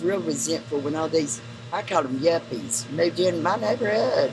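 Background noise is noticeable throughout. Against it, a woman's voice makes very wide pitch swings. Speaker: neighborhood native interviewee. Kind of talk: casual chat, storytelling. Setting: outdoors, mill courtyard. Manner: talkative, laughing.

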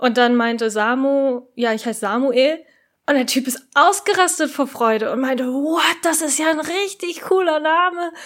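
A high-pitched woman speaks at a moderate pace with lively intonation. The recording is very clean, with a silent background. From Japan. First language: Japanese (speaking German). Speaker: podcast co-host. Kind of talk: casual chat.

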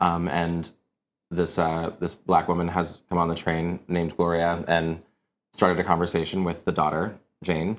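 At a moderate pace, a man with a very deep, low pitch speaks in a monotone, flat intonation in a very clean recording with a silent background. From Kansas, US. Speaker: musical theater writer. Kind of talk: casual interview.

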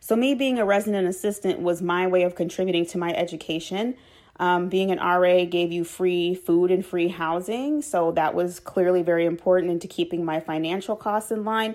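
A woman with an American accent has a normal speaking voice at a medium pitch with ordinary pitch variation. She talks at a fairly quick pace with hardly any pauses, on a very clean recording with a silent background. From Chicago, west side (Austin). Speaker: podcast host, former residence life professional. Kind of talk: solo podcast narration.

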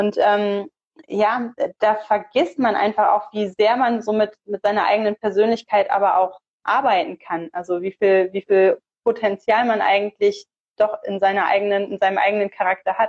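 Speaking at a moderate pace, a woman has a normal speaking voice at a medium pitch. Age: 30s. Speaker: theologian and online pastoral counselor. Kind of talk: casual interview. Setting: live stream.

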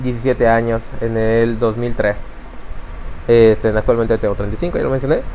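With ordinary pitch variation, a man speaks amid noticeable background noise. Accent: Yucatecan. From Yucatán, Mexico. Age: 30s. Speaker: tech company CEO. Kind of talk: interview.

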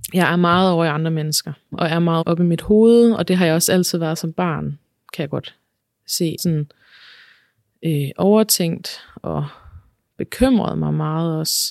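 A woman's fairly low, fairly slow voice, with ordinary pitch variation and long, frequent pauses, in a dry, close sound with no echo. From Denmark, central Jutland near Herning. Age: 30s. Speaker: podcast guest sharing her life story. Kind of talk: personal testimony interview. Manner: hesitant, many fillers.

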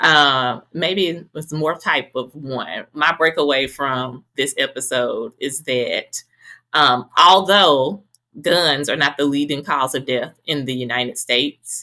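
In a Southern US accent, a woman speaks with a very deep, low pitch and a bright, sharp tone, at a fairly slow pace with ordinary pitch variation. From Mississippi, Greenville. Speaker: podcast host and health professional. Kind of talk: casual chat.

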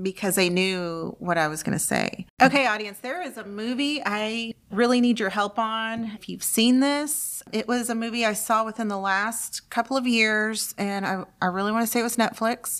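A woman speaks in a normal speaking voice at a fairly high pitch. Her pace is moderate, with hardly any pauses. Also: ordinary pitch variation. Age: 50s. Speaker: library podcast co-host. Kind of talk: casual chat.

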